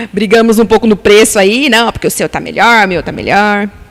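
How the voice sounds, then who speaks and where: Against noticeable background noise, a woman speaks at a moderate pace with a fairly high pitch. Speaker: beautician and pharmaceutical sales rep. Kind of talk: casual interview chat. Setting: live-streamed podcast studio.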